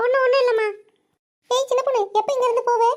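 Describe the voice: This woman uses a squeaky, cartoonish character voice at an extremely high pitch. Her intonation stays monotone and flat. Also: fairly quick pace.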